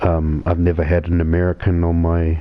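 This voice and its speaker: A man's very deep, low pitch and monotone, flat intonation against noticeable background noise. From New Zealand. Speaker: gaming live streamer. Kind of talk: casual live stream chat.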